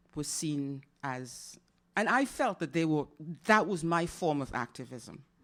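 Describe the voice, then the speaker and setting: The recording is very clean, with a silent background. A woman speaks at a fairly slow pace with ordinary pitch variation. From Caribbean. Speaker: poet. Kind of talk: Q&A discussion at a poetry festival.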